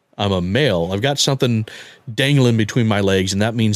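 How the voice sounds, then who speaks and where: A man with a plain, everyday voice speaks at a fairly quick pace, fairly low in pitch with ordinary pitch variation. The recording is very clean, with a silent background. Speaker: father sharing his story. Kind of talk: personal story interview.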